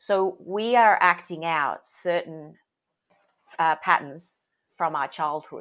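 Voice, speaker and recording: A woman with an Australian accent and a fairly low pitch talks at a very slow pace with long, frequent pauses and ordinary pitch variation, on a very clean recording with a silent background. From Sydney, Australia. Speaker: parenting coach. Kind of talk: interview.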